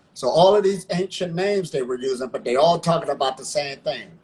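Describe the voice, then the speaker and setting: A man with an American accent, a somewhat breathy voice and ordinary pitch variation. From Ohio, US. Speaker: breatharian practitioner. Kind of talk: interview.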